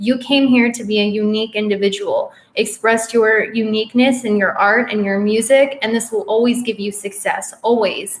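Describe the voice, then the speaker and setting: At a moderate pace, a woman speaks at a fairly high pitch. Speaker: witch and astrology youtuber. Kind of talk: live stream Q&A.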